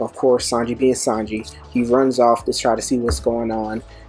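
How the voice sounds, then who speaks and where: Faint music plays in the background as a man speaks with fairly even intonation, the sound dry with no echo. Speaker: manga commentator. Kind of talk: commentary.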